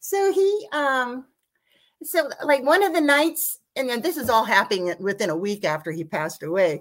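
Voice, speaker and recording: Her voice sits high for a woman and moves through very wide pitch swings. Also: moderate pace. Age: 60s. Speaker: caller sharing paranormal experiences. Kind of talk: personal storytelling. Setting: video call.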